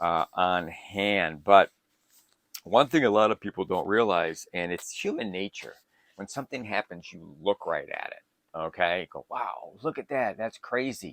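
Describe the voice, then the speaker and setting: A man with a plain, everyday voice and an American accent talks fairly slowly at a fairly low pitch, with lively intonation and big swings in loudness, in a dry, close sound with no echo. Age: 60s. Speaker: survival prepping YouTuber. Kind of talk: casual tutorial monologue. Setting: home bunker. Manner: conversational with frequent fillers.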